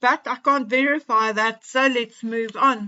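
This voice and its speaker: A high-pitched woman's voice at a fairly slow pace. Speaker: royal gossip commentator. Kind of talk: casual commentary talk to camera.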